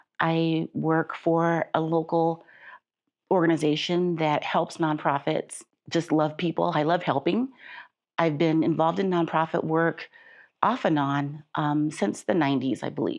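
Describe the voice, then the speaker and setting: Against a quiet background, a plain, everyday voice with an American accent moves at a fairly slow pace, with ordinary pitch variation and very even loudness. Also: woman, fairly low pitch for a woman. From Chicago. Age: 60s. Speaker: patient guest, nonprofit worker. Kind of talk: interview testimony.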